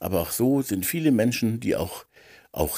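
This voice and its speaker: With a dark, mellow tone, a man speaks using lively intonation. The recording is very clean and the background silent. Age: 50s. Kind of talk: monologue reflection. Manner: hesitant with many fillers.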